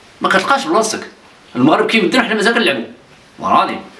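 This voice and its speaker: Speaking at a moderate pace, a man with a high voice moves through very wide pitch swings. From Morocco, Khemisset; Morocco. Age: 60s. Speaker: futsal pioneer and retired teacher; retired teacher. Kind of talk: interview. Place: home room.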